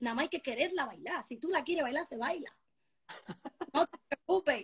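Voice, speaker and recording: A woman's extremely high, bright and sharp voice, animated with lively intonation, at a fairly quick pace in a dry, close sound with no echo. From Spain, of Dominican descent. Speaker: urban music singer. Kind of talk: casual interview.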